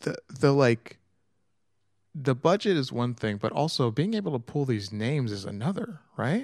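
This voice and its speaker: A man's fairly high voice at a moderate pace, with very wide pitch swings. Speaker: podcast co-host. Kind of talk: casual chat. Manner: sounds dejected (per co-host).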